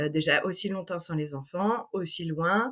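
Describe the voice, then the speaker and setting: A woman's ordinary pitch variation comes through in a very clean recording with a silent background. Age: 30s. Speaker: travel planner. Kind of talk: interview.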